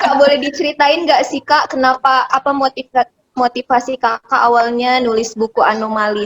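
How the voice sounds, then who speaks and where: Speaking at a fairly quick pace with hardly any pauses, a woman uses a high pitch and fairly even intonation, her loudness swinging widely in a dry, close sound with no echo. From Indonesia, Medan (North Sumatra). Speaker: video host, interviewer. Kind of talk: casual chat. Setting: video call.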